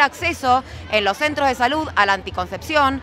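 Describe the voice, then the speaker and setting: A woman's raised, projected voice in a dry sound with no echo, with faint music in the background. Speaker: activist spokesperson. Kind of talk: interview answer. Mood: earnest, indignant. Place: street. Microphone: handheld.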